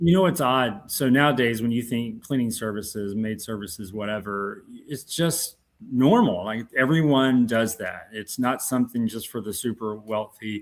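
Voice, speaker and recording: Here a man with a Southern US accent talks at a moderate pace and medium pitch, with ordinary pitch variation and hardly any pauses. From US South (southern Georgia). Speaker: entrepreneur. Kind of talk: interview.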